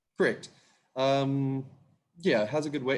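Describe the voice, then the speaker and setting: A man talks with a New Zealand accent. His pace is very fast. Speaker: winemaker. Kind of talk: casual wine tasting talk.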